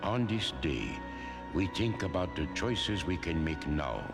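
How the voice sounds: A man puts on a cartoonish character voice at a low pitch with big pitch swings. He talks at a fairly slow pace over clear music in the background.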